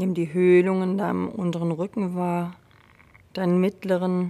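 A woman's fairly low-pitched voice in a gentle, dark, mellow tone. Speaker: yoga teacher. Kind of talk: guided meditation. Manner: slow, calm, soothing; gentle, unhurried, with long pauses.

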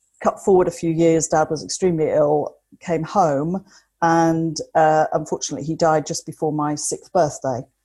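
A woman with a fairly low pitch speaks at a moderate pace in a dark, mellow tone. Her intonation is flat and monotone, and the recording is very clean with a silent background. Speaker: mindset coach. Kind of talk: interview. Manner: articulate.

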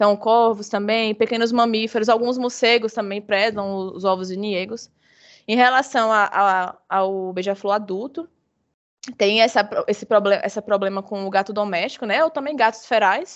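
This woman has an ordinary speaking voice. Her pitch is fairly high, and she talks at a moderate pace. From Bahia, Brazil. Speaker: biologist, hummingbird researcher. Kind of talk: casual interview.

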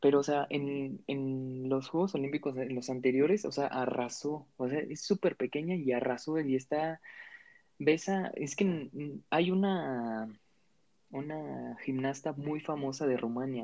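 A normal speaking voice at a fairly slow pace. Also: man. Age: 20s. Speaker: podcast co-host, medical student. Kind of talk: casual chat.

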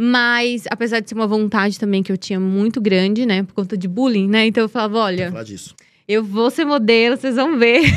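In a northeastern Brazilian accent, a woman talks at a fairly quick pace with a fairly high pitch and ordinary variation. The recording is very clean, with a silent background. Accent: northeastern Brazilian Portuguese (Piauí). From Brazil, Piauí (Teresina). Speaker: model and beauty pageant winner. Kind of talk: casual interview. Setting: studio.

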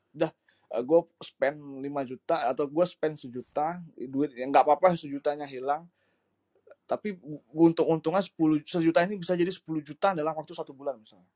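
A man with a plain, everyday voice speaks at a moderate pace and a fairly high pitch, his intonation fairly even. His loudness swings widely, and the sound is dry and close with no echo. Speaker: crypto exchange PR and digital marketer. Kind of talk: casual talk-show discussion. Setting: live audio room online.

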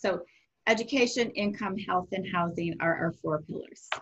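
A somewhat breathy woman at a moderate pace. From US Midwest (Rockford, Illinois). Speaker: nonprofit executive. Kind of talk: podcast interview.

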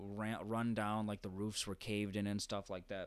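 A man with a normal speaking voice and fairly low pitch talks at a fairly quick pace. The recording is very clean, with a silent background. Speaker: podcast host. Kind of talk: casual chat. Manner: filler-heavy, casual.

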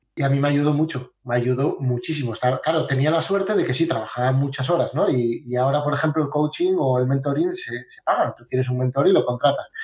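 Rushing at a very fast pace with hardly any pauses, a man speaks at a fairly high pitch with ordinary pitch variation. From Asturias, Spain. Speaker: sales coach. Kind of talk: interview.

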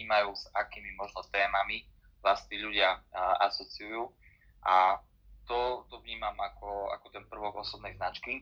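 A man speaks at a fairly low pitch with a bright, sharp tone. His intonation is monotone and flat, while his loudness swings widely. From eastern Slovakia, Michalovce. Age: 30s. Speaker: LinkedIn consultant. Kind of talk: live audio room talk. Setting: audio chat room.

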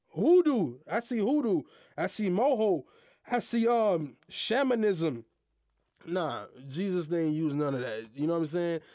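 Here a man has a high pitch and a dark, mellow tone, with very wide pitch swings. The recording is very clean with a silent background. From US, Haitian American family. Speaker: podcast host. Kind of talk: casual monologue on faith. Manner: halting, many fillers.

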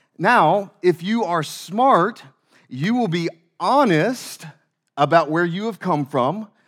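This speaker talks at a very slow pace with lively intonation in a Southern US accent. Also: man, high pitch for a man. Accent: Southern American. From US South. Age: 30s. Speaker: pastor. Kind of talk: sermon. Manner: halting, many fillers.

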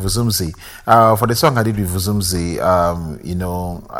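This man's voice is very deep and low. The room adds audible echo. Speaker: music producer and DJ. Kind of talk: casual interview.

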